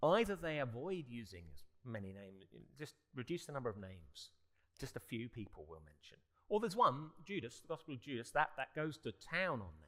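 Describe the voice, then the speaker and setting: A man with a British accent speaks at a fairly quick pace in a medium pitch, his voice making very wide pitch swings and big swings in loudness. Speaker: barrister and panelist. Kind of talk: panel discussion. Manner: halting, with repeated restarts.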